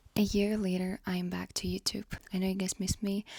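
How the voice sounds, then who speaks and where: A quiet, somewhat breathy woman's voice at medium pitch, dark and mellow in tone, monotone and flat in intonation, at a moderate pace. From Ukraine. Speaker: vlogger. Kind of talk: casual chat.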